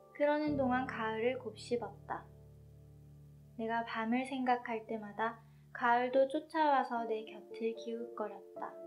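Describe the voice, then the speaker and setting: There is music in the background. The woman talks at a very slow pace. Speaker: author reading own book. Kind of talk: literary essay reading.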